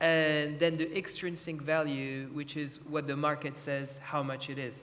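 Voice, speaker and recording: Amid noticeable background noise, a man speaks fairly slowly. His pitch is fairly high and his intonation monotone and flat. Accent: French. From France. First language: French. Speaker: art lawyer. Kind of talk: panel discussion.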